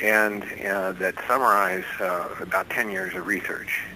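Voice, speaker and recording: Over noticeable background noise, a man with a very deep, low pitch speaks at a fairly slow pace in a monotone, flat intonation. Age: 60s. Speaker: bible code researcher and author. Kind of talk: radio interview. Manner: halting, many fillers.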